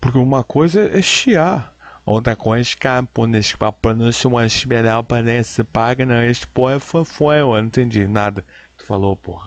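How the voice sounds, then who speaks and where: A man at medium pitch, moderate pace, ordinary pitch variation and hardly any pauses. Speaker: commentator reacting to videos. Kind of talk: reaction commentary. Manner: animated.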